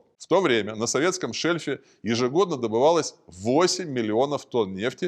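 A man's medium-pitched voice with very wide pitch swings, at a fairly slow pace against a quiet background. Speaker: narrator. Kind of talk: documentary narration. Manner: formal; measured.

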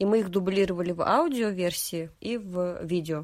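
Using a plain, everyday voice, a woman talks at medium pitch with ordinary pitch variation. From Russia, Nizhny Novgorod region. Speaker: podcaster and theatre worker. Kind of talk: casual chat.

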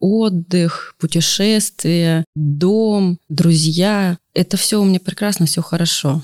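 Very slowly and with fairly even intonation, a woman speaks at a fairly low pitch in a dry, close sound with no echo. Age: 30s. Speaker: war widow, mother of two. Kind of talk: interview conversation. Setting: studio.

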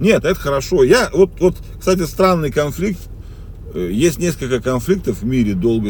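Amid noticeable background noise, a man talks at a moderate pace with very wide pitch swings. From former Soviet Union. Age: 40s. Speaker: video blogger. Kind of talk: casual monologue. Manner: rambling, halting.

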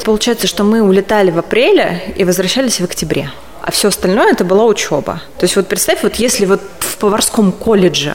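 A woman at a medium pitch with ordinary pitch variation, talking at a fairly quick pace over noticeable background noise. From Russia, Kazan and Krasnodar region. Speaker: executive director of a chefs' association. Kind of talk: casual interview chat. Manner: animated.

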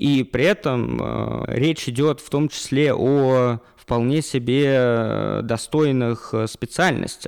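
At a very slow pace with hardly any pauses, a man speaks at medium pitch with fairly even intonation and big swings in loudness. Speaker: university lecturer. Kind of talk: interview. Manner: formal.

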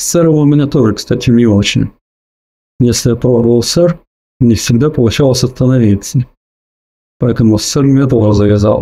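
The voice is somewhat breathy with a dark, mellow tone, a calm tone and very even loudness. It moves at a moderate pace with ordinary pitch variation and long, frequent pauses. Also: man, medium pitch for a man. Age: 40s. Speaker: weight-loss story contributor. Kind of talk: personal testimony. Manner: calm, measured.

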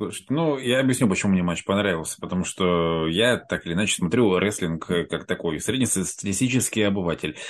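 A man in a normal speaking voice, fairly low in pitch, fairly quick and lively in intonation, with hardly any pauses. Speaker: wedding host and wrestling fan. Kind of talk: casual chat.

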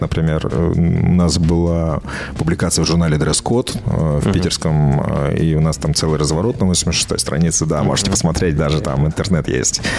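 A man's very deep, low pitch against noticeable background noise. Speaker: singer-songwriter and DJ. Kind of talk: interview. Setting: studio.

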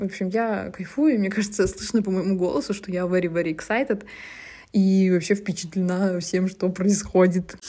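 This woman's voice is medium in pitch, dark and mellow in tone, and somewhat breathy, moving at a moderate pace with fairly even intonation over a very clean, silent background. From Russia, Zabaykalsky Krai (Siberia). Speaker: podcaster, reality TV show winner. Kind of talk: casual monologue. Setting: shared apartment room.

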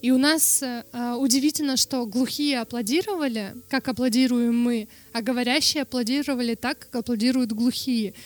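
In a high pitch with fairly even intonation, a woman speaks on a very clean recording with a silent background. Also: moderate pace. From Russia, Norilsk. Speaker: sign language interpreter. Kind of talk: interview. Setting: studio.

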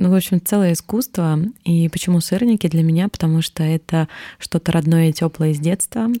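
In a very clean recording with a silent background, a woman with a fairly low pitch and a dark, mellow tone talks at a moderate pace with fairly even intonation. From Irkutsk region, Siberia, Russia. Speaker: entrepreneur and coach. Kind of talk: casual interview chat.

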